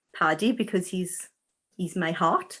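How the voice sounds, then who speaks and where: A woman speaks with a strong Welsh accent at a medium pitch. The recording is very clean, with a silent background. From South Wales. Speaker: animal communicator and healer. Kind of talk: interview. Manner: deliberately slow.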